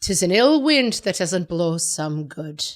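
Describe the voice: A female-sounding voice performs a put-on character voice. The pace is fairly slow. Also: fairly low pitch for a woman, very clean recording, silent background.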